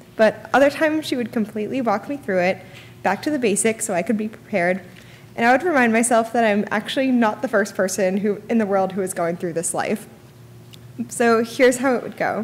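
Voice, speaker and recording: Over light background noise, a woman speaks at a fairly quick pace with ordinary pitch variation. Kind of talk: eulogy. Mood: grieving, tender. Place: church. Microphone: podium.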